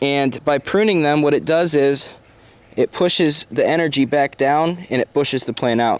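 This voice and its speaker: With a normal speaking voice and a fairly high pitch, a man talks at a moderate pace with ordinary pitch variation, the sound dry and close with no echo. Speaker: gardening vlogger. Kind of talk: garden walkthrough vlog. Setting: outdoors in garden.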